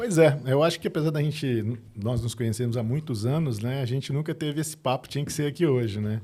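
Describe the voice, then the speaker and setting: A man with a Minas Gerais accent speaks at a fairly quick pace with hardly any pauses. His medium-pitched voice is dark, mellow and somewhat breathy, with ordinary pitch variation. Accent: mineiro. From Minas Gerais, Brazil. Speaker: business consultant and board member. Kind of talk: podcast interview.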